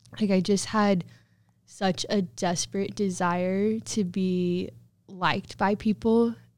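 A woman with a Midwestern American accent, very slow, medium in pitch with ordinary pitch variation, in a very clean recording over a silent background. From Southwest Kansas. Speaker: college student. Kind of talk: testimony.

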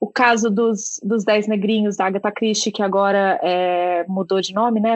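A woman talks in a normal speaking voice. She keeps a medium pitch and a moderate pace. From Brazil, Minas Gerais. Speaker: book podcast co-host. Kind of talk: casual interview chat.

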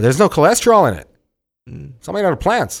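A man's very fast speech, with very wide pitch swings and vocal fry, on a very clean recording with a silent background. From Santa Ana, Southern California. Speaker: chef and pop-up owner. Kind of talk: casual chat.

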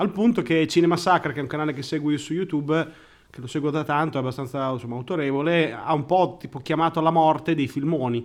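Against a quiet background, a fairly high-pitched man speaks at a very fast pace with ordinary pitch variation. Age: 30s. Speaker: podcast co-host. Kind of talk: casual chat.

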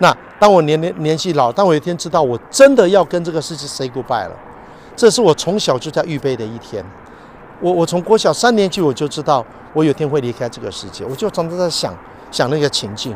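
Fairly high in pitch, a man speaks at a fairly quick pace with lively intonation. Noticeable background noise runs underneath. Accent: Taiwanese. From Taiwan. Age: 50s. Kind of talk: casual religious talk.

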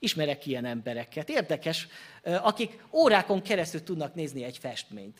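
At a moderate pace and high pitch, a man speaks with lively intonation in a very clean recording with a silent background. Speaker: Baptist pastor. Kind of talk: sermon. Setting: church.

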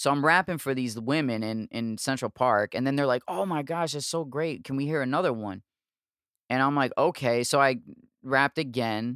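A man with an unremarkable speaking voice talks at a moderate pace and a medium pitch with ordinary pitch variation. The recording is very clean with a silent background, and the sound is dry and close with no echo. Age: 30s. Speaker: podcast host. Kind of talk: casual chat.

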